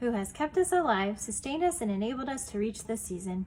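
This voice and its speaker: A woman's put-on character voice, growling, fairly high-pitched, very fast, with very wide pitch swings. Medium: read story.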